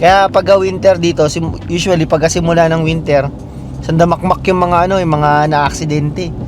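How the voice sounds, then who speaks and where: A man's fairly high voice holds a fairly even intonation while noticeable background noise runs underneath. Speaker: vlogger, Filipino immigrant butcher. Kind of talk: casual vlog monologue. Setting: in a car.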